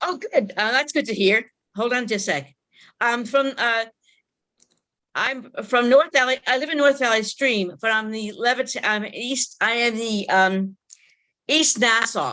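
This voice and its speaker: A fairly high-pitched woman with a bright, sharp tone, ordinary pitch variation, a fairly slow pace and long, frequent pauses. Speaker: league member. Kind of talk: casual chat. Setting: video call. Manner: halting.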